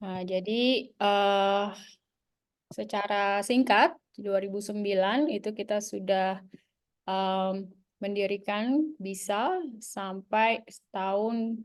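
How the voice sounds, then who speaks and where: Against a quiet background, a woman talks at a very slow pace. Her pitch is medium and her intonation fairly even. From Jakarta, Indonesia (Betawi). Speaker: business association co-founder, webinar speaker. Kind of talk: webinar presentation. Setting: video call webinar. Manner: hesitant, frequent fillers.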